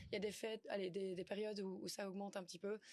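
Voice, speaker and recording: In a Flemish accent, a woman speaks at a fairly quick pace. Her pitch is medium and her intonation monotone and flat. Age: young. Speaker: content creator. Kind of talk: interview. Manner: hesitant, many fillers.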